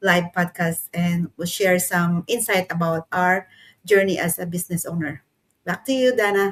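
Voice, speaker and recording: A woman with a Filipino accent speaks at a fairly low pitch and a moderate pace with fairly even intonation, in a dry, close sound with no echo. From Philippines. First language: Tagalog. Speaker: manufacturing worker and online entrepreneur. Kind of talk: casual live stream chat.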